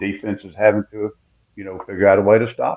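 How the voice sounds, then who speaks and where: A man talks with a South Carolina accent. His pace is fairly quick. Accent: Southern US (South Carolina). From US South, South Carolina (Winnsboro). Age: 70s. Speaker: retired football coach. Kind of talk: radio interview.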